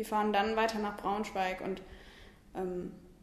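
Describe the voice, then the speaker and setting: Over noticeable background noise and audible room echo, a woman speaks at a moderate pace in a medium pitch. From Lower Saxony, Germany (Hildesheim). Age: 20s. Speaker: cycling tour fundraiser. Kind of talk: interview.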